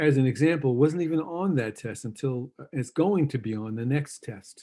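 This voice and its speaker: A man with a New York accent and a dark, mellow tone. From New York City, Queens. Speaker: university lecturer, former school administrator. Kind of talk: lecture. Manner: casual, halting with fillers.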